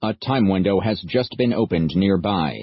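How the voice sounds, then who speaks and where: Using a put-on character voice, a man speaks at a fairly low pitch and a moderate pace. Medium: read story. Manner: flat, formal, literal.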